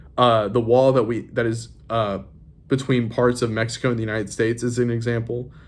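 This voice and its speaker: Speaking fairly quickly at a medium pitch, a man keeps a monotone, flat intonation amid audible room echo. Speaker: high school teacher. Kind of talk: recorded lesson. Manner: fast; halting.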